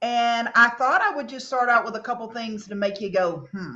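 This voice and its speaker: A woman with a Southern US accent speaks at a moderate pace and a high pitch. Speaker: cosmetics sales leader and former engineer. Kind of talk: motivational talk.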